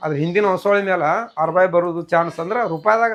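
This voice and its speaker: A man speaks with ordinary pitch variation. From Karnataka, Bagalkot district (Lokapur). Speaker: dog breeder. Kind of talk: interview.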